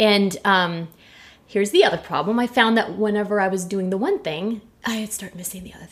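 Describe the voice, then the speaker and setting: Her loudness swinging widely, a woman speaks in an animated tone at a medium pitch with ordinary pitch variation. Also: fairly quick pace. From US West, Orange County, California. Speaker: actress and comedian. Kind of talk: casual chat.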